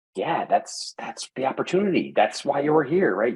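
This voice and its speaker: The speech moves at a fairly quick pace. Vocal fry runs through the voice. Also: man. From US Northeast, Connecticut. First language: Italian. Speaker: entrepreneur and content creator. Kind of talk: podcast interview. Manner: halting, many restarts.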